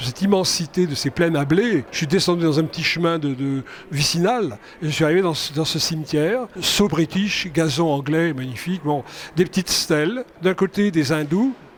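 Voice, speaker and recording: Over noticeable background noise, a man talks at a moderate pace, his fairly high voice showing ordinary pitch variation. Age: 70s. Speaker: film director. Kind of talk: interview. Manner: hesitant, repeats words.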